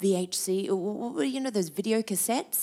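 With an Australian accent, a woman speaks at a moderate pace in a medium pitch, her intonation lively and her tone dark and mellow. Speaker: TV cooking show host. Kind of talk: interview conversation.

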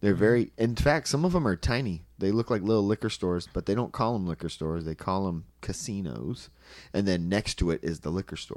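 Captured in a very clean recording with a silent background, a man with a normal speaking voice and fairly low pitch talks at a fairly quick pace with lively intonation. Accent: American. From Southern California, Anaheim. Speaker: stand-up comedian. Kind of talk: casual chat.

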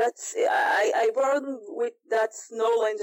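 The speaker uses a very slow pace with an Israeli accent. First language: Hebrew. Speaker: martial arts instructor. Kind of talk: casual interview. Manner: halting, searching for English words.

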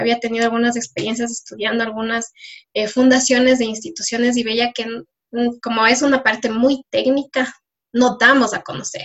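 Woman's voice, fairly high, at a moderate pace, monotone and flat in intonation. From Ecuador (Riobamba). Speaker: environmental engineer and social entrepreneur. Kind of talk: interview.

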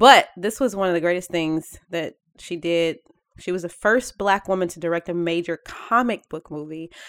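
On a very clean recording with a silent background and a dry, close sound with no echo, a woman with an unremarkable speaking voice and fairly low pitch speaks at a moderate pace, with ordinary pitch variation and big swings in loudness. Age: young. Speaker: podcast co-host. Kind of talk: casual chat.

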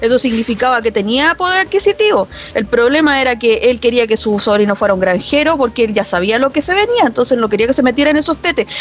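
Over noticeable background noise, a high-pitched woman talks at a very fast pace with hardly any pauses. Her loudness is very even while her pitch swings very widely. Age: 40s. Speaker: university library staff, podcast co-host. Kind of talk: casual chat.

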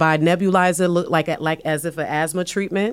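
A woman speaks with a New York accent at a moderate pace. Her pitch is fairly low and her intonation fairly even. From New York, South Bronx. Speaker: emergency room physician. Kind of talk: panel discussion. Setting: studio.

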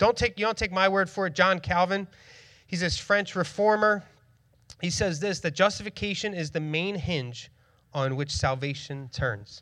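In a very clean recording with a silent background, a man with a Philadelphia accent speaks at a moderate pace and high pitch, his tone bright and sharp, with ordinary pitch variation. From Northeast Philadelphia. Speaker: church planter and preacher. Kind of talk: sermon. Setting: church stage with congregation.

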